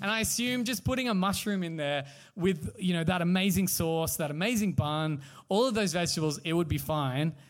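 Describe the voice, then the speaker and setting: The recording has audible room echo. A man with an Australian accent talks fairly quickly at a high pitch with lively intonation. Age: 30s. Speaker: podcast host. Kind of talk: live podcast chat. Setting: stage with audience.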